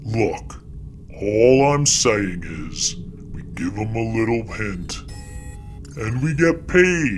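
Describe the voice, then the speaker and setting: Over clear background noise, a man with a medium-pitched voice does a put-on character voice at a very slow pace, with long, frequent pauses. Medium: read story. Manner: wheedling, casual.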